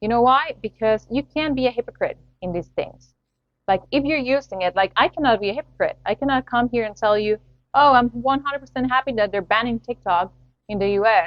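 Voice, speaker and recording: At a fairly quick pace, a woman with a Spanish accent speaks at a high pitch. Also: ordinary pitch variation. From Latin America. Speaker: podcast host. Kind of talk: solo podcast commentary.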